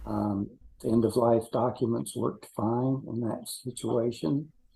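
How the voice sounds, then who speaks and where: A man of medium pitch speaks in a dark, mellow, somewhat breathy tone with fairly even intonation. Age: 80s+. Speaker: participant, widower. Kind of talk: self-introduction. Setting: video call.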